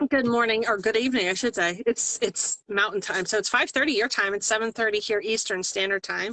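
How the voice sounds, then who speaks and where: Loud and with a bright, sharp tone, a woman speaks at a fairly high pitch in a dry, close sound with no echo. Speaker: small business owner in sublimation crafting. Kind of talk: casual chat. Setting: live video stream. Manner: animated.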